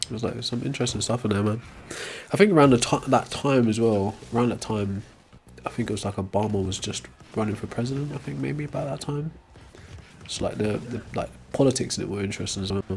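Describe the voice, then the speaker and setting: Mumbling at a very fast pace with lively intonation, a man with a medium-pitched voice is heard over noticeable background noise. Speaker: live streamer. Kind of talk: casual chat. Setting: live stream.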